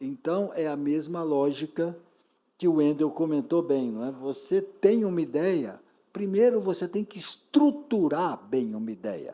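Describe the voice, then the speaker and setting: Speech unfolds fairly slowly. The background is silent and the recording very clean. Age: 60s. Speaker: panel speaker. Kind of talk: panel discussion. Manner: animated.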